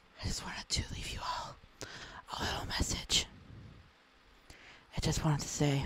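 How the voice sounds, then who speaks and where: A whispered voice at a moderate pace, broken by long, frequent pauses. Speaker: content creator. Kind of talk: ASMR encouragement talk. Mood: gentle, comforting. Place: home room. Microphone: handheld.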